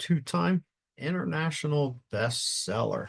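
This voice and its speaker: A man's voice is somewhat breathy, and his intonation is lively. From US Northeast, southern New Jersey. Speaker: retired fire chief and podcast host. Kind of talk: casual podcast chat. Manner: straightforward, blunt.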